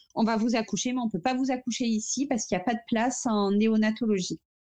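A woman's fairly high-pitched voice is heard over a quiet background. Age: 30s. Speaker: mother sharing fertility story. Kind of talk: testimony. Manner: halting.

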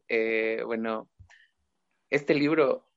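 This is a man speaking at a medium pitch. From Ecuador, Chimborazo province. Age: young. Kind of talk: casual chat.

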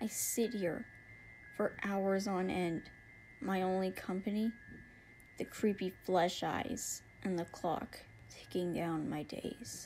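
Very slowly and with long, frequent pauses, a woman speaks in a somewhat breathy voice of medium pitch with lively intonation. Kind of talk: spoken word poem, dramatic first-person monologue in character. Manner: slow, mournful, brooding delivery; anguished, breaking into shaky laughter at the end.

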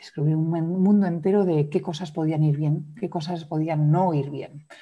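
Somewhat breathy, dark and mellow speech with fairly even intonation at a fairly slow pace. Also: woman, very clean recording, silent background. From Madrid, Spain, then raised abroad. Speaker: yoga teacher and trauma specialist. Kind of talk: interview conversation.

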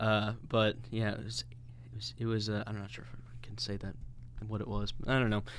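Audible room echo surrounds a man speaking at a moderate pace with an American accent. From US Midwest (St. Louis, Missouri). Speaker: podcast co-host. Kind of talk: casual chat. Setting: recording studio.

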